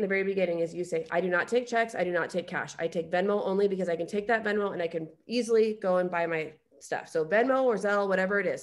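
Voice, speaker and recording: A woman's animated, medium-pitched voice at a very fast pace, with ordinary pitch variation. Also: hardly any pauses. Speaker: nail product seller and team trainer. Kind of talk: business training on a video call.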